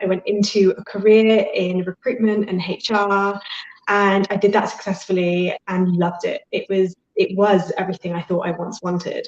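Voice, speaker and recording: A woman with a British accent speaks at a moderate pace in a medium pitch, her intonation flat and monotone. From Britain. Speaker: life and career coach. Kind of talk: interview. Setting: live video interview.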